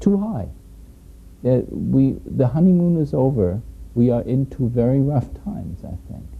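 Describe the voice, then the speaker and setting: The speech moves at a fairly slow pace, with music in the background. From Germany. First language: German. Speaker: banker. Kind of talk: roundtable discussion. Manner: halting.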